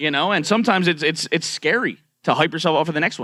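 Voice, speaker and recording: Bright and sharp in tone, a man's voice rushes at a very fast pace. His intonation is lively. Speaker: streamer. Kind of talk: panel discussion. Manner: halting, many fillers.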